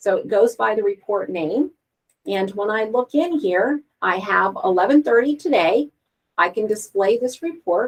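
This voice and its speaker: The talk moves at a moderate pace with lively intonation. It is a plain, everyday voice. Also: woman. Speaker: software trainer. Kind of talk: tutorial.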